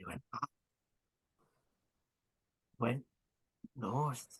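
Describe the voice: A man's put-on character voice at medium pitch with a husky, rough edge, ordinary pitch variation and a very slow pace.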